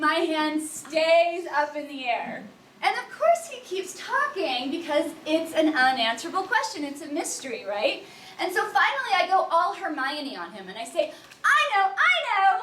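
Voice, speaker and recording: With audible room echo, a woman speaks in a raised, projected voice at an extremely high pitch, her bright, sharp tone carrying very wide pitch swings and big swings in loudness at a moderate pace. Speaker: event founder and speaker. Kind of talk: conference talk. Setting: room with live audience, no microphone. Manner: enthusiastic. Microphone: no microphone, speaking unamplified.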